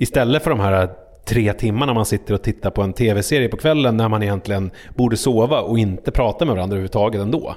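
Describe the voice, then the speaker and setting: Very fast male speech, medium in pitch, its variation ordinary. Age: 40s. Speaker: podcaster and TV relationship panelist. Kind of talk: casual chat. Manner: halting.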